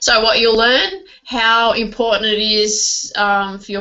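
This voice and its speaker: A woman with an Australian accent and fairly even intonation, amid noticeable background noise. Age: 40s. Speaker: network marketing trainer. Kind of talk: online training presentation. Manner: halting, many fillers.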